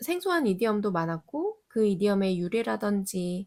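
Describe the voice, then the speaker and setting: A woman talks fairly slowly on a very clean recording with a silent background. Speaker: English study channel host. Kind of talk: tutorial; casual chat.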